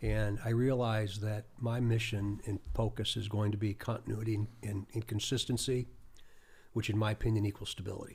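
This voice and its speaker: A man with an American accent talks at a fairly quick pace in a monotone, flat delivery. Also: fairly low pitch for a man. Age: 60s. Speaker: state police chief. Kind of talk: podcast interview. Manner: halting, with repeated words.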